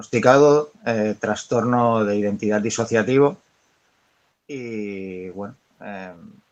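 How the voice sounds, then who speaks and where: A man's medium-pitched voice with fairly even intonation, long, frequent pauses and big swings in loudness. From Catalonia. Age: 40s. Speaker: patient sharing experience. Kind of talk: testimony.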